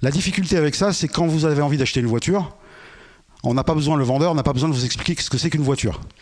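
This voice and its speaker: Very fast male speech, fairly high in pitch, with ordinary pitch variation. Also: very even loudness. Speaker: conference speaker on radio technology. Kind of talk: lecture.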